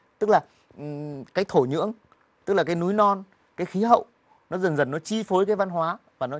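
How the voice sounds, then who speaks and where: Over a quiet background, a man talks at a very fast pace. His pitch is high, and his intonation is lively. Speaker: journalist. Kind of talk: TV interview. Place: studio. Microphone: lapel.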